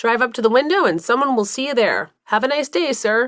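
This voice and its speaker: In a put-on character voice, a woman speaks with a high pitch. She moves at a fairly quick pace. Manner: chipper, cheerful.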